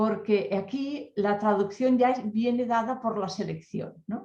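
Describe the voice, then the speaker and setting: A woman with a Catalan accent speaks at a fairly slow pace in a fairly high, somewhat breathy, dark and mellow voice with ordinary pitch variation. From Catalonia, rural mountain area. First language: Catalan (speaking Spanish). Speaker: academic researcher. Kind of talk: panel discussion. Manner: halting, with many fillers.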